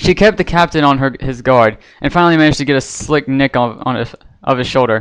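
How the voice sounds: The clip has a natural reading voice, and its pitch variation is ordinary.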